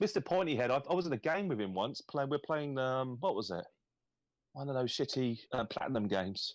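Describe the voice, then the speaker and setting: A man with an English accent, medium pitch and lively intonation at a fairly quick pace, over a quiet background. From England. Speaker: gaming podcast host. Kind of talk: casual chat. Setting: live stream.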